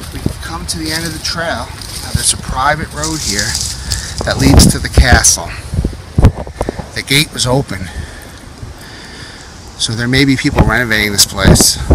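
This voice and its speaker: A man at a moderate pace, with long, frequent pauses, dry sound with no echo, and loud background noise. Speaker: explorer vlogger. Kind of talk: casual vlog chat. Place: forest. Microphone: phone near.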